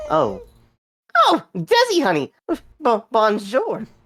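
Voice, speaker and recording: Put on as a character voice, the fairly high pitch unfolds at a very slow pace. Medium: game stream. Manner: mopey, hesitant, pathetic.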